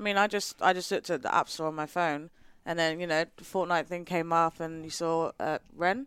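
A woman with a British accent speaks at a moderate pace, with fairly low pitch, fairly even intonation and big swings in loudness. The recording is very clean, with a silent background and a dry, close sound with no echo. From England. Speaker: marketing professional, podcast guest. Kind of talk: casual chat.

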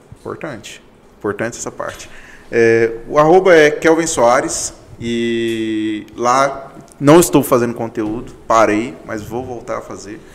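Speaking at a fairly slow pace, a man with a medium pitch, ordinary pitch variation, big swings in loudness and an ordinary speaking voice. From Goiânia, Goiás, Brazil. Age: 20s. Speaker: accounting firm partner. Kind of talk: casual interview chat.

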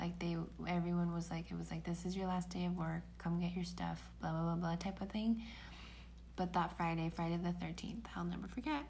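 Audible room echo surrounds a woman who speaks at a fairly quick pace. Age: 20s. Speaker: podcast co-host, middle school teacher. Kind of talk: casual chat.

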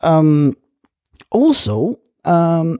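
Lively intonation runs through this dark, mellow tone. The sound is dry and close, with no echo. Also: man. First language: not English. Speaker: podcast host. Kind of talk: casual chat.

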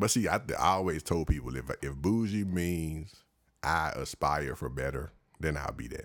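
A man's very deep, low voice with vocal fry, an animated tone and lively intonation, on a very clean recording with a silent background. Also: moderate pace. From Washington DC. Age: 30s. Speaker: podcast host. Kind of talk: casual chat. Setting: studio.

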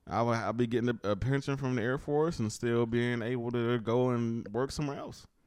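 A man uses a normal speaking voice at medium pitch, with fairly even intonation and hardly any pauses, against a quiet background. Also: fairly quick pace. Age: 40s. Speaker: podcast co-host. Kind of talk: casual chat.

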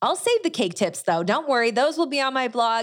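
A woman's pitch swings very widely. The recording is very clean, with a silent background. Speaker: baker and podcast host. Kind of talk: solo podcast monologue.

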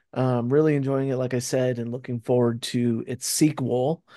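Here is a man with medium pitch and a dark, mellow tone. The background is quiet. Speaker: podcast co-host. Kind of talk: casual chat.

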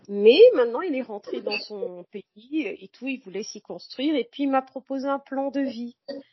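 A woman with a high voice speaks at a fairly slow pace with hardly any pauses, lively intonation, and big swings in loudness. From Cameroon. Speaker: journalist and feminist activist. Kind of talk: podcast interview testimony. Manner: hesitant, many fillers.

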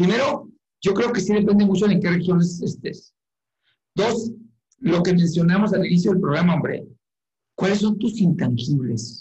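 This man has a high pitch and a dark, mellow tone, speaking at a moderate pace with lively intonation and long, frequent pauses. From Mexico, Chihuahua. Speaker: company executive. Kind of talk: interview.

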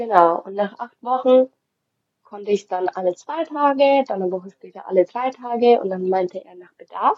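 With an ordinary speaking voice, a woman talks at a moderate pace and medium pitch, her intonation lively and her loudness swinging widely. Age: 20s. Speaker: mother sharing birth experience. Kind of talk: testimony.

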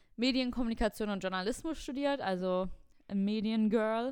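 A woman's fairly high voice at a moderate pace, fairly even in intonation, on a very clean recording with a silent background. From Germany, near Cologne. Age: 20s. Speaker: podcast co-host. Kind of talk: casual chat.

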